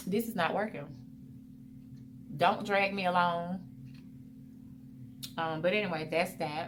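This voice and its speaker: A woman's fairly low voice at a fairly slow pace, fairly even in intonation, with long, frequent pauses, audible room echo and noticeable background noise. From US South, Mobile, Alabama. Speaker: vlogger. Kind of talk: casual Q&A vlog. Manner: chatty, conversational.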